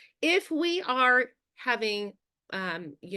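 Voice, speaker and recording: Against a quiet background, a woman speaks with lively intonation and a bright, sharp tone. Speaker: speech teacher and coach. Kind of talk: webinar presentation. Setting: online webinar.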